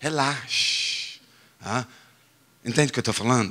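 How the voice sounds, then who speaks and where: This is a man speaking. He has an English accent. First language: English (speaking Portuguese). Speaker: pastor. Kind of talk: sermon. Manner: halting, self-correcting.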